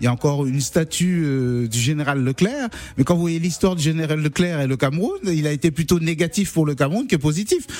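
Fairly high male voice at a moderate pace with lively intonation, music playing in the background. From Cameroon. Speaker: singer-songwriter. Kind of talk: radio interview. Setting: radio studio.

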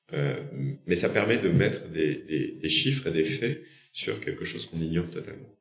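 A man's very deep, low voice with very wide pitch swings, a moderate pace and audible room echo. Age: 40s. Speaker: company founder and CEO. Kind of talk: interview.

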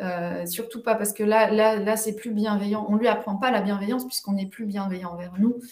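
Over noticeable background noise, a woman talks fairly quickly and fairly high in a monotone, flat intonation with hardly any pauses. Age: 40s. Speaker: parenting coach. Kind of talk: interview.

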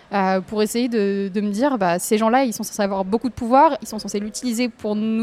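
A woman at a fairly high pitch and very fast pace, with ordinary pitch variation. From southern France, near an industrial lagoon. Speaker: environmental campaigner. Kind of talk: casual interview. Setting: café.

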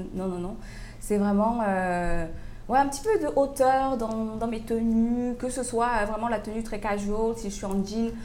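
A woman's fairly high voice with a dark, mellow tone, ordinary pitch variation and a fairly slow pace, plus audible room echo. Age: 30s. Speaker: fashion entrepreneur. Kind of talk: interview. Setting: coffee shop.

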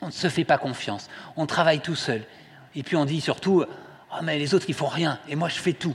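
A man's somewhat breathy, fairly high voice at a fairly quick pace, with ordinary pitch variation and long, frequent pauses. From southwest France, Toulouse. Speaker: lay preacher, care home director. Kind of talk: sermon. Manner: halting.

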